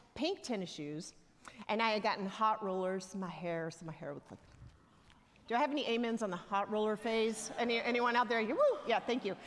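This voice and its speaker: A woman with a strong Southern US accent talks at a fairly quick pace and a fairly high pitch, with ordinary pitch variation. Her loudness swings widely, and noticeable background noise is present. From US South, Alabama (near Tuscaloosa). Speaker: church elder, lay preacher. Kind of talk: sermon. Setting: church. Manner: conversational, humorous storytelling.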